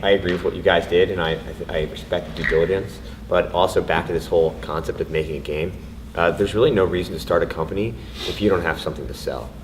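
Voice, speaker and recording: A man speaks at a very fast pace in a very deep, low voice. His pitch varies in an ordinary way, and there is noticeable background noise. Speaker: indie game developer on panel. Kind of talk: panel discussion. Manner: loud.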